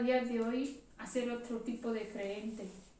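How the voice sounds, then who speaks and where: A woman speaks fairly slowly in a high voice with a dark, mellow tone, and the room echo is audible. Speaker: church member giving a reflection. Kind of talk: testimony.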